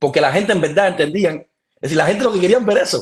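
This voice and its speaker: Someone with a Cuban accent talks at a very fast pace with lively intonation. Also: man. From Cuba, Mayabeque. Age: 30s. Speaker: professional baseball pitcher. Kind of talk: casual interview chat. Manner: animated.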